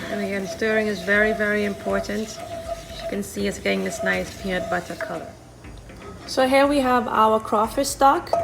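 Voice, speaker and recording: A woman's speech moves at a moderate pace, with noticeable background noise throughout. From Saint Lucia. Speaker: chef. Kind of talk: cooking demonstration.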